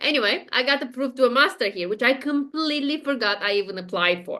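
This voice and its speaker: A woman with a Romanian accent, high-pitched, bright and sharp in tone, lively in intonation, against a quiet background. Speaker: spiritual guide, podcast guest. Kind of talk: interview, casual chat. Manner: hesitant, many fillers.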